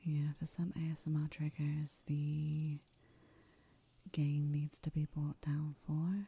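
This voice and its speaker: At a very slow pace, the soft-spoken speaker talks. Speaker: gaming streamer. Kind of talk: casual gameplay commentary. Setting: live stream recording.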